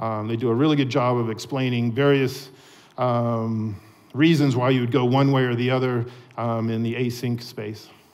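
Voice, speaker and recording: In an American accent, a man with a medium pitch speaks at a moderate pace with fairly even intonation, and the room echo is audible. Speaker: software developer. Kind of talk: conference talk. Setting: stage with audience. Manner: frequent fillers.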